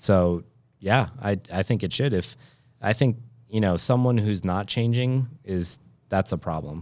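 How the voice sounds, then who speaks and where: On a very clean recording with a silent background, a man speaks in a normal speaking voice at a fairly slow pace, with fairly low pitch and ordinary pitch variation. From western Massachusetts, later eastern North Carolina. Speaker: physical therapist. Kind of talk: interview.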